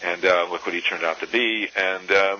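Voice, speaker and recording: With an American accent and a very deep, low pitch, a man talks at a fairly quick pace amid noticeable background noise. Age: 60s. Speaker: activist and author. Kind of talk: interview. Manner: halting, many fillers and restarts.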